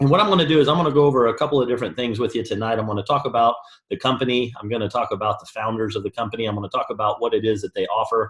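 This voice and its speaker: Delivering his words at a very fast pace, a man uses a medium pitch with ordinary pitch variation. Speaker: network marketing presenter. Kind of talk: sales pitch. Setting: online conference call.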